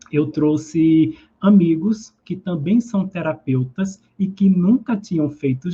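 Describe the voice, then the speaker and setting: This man has a high pitch and a dark, mellow tone, speaking with a Pernambuco accent. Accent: Pernambuco (northeastern Brazilian). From Brazil, southern Pernambuco. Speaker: holistic therapist. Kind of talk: live stream talk. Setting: live stream. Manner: conversational.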